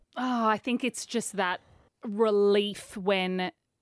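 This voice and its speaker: Speaking very slowly with an Australian accent, a woman uses ordinary pitch variation on a very clean recording with a silent background and a dry, close sound with no echo. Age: 40s. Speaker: radio host and author. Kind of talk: casual interview chat.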